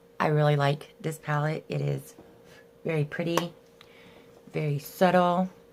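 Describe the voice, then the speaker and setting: A woman speaks at a moderate pace in a very deep, low voice with monotone, flat intonation and long, frequent pauses over noticeable background noise. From Arkansas. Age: 40s. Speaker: beauty YouTuber. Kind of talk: casual talk to camera.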